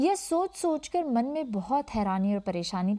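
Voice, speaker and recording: A woman speaks with a dark, mellow tone and very wide pitch swings. The recording is very clean, with a silent background. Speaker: podcast host. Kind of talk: scripted narration.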